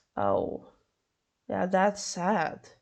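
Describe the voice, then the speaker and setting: A woman with a Swedish accent. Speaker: podcast host. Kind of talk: solo podcast narration. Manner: halting, stumbling over words; casual asides.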